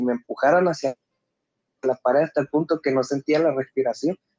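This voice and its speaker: The sound is dry and close, with no echo, as a man speaks at a fairly quick pace. He has a fairly high pitch and an unremarkable speaking voice. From Mexico, Acayucan, Veracruz. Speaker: truck driver, caller. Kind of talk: telling a personal ghost story. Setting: phone call.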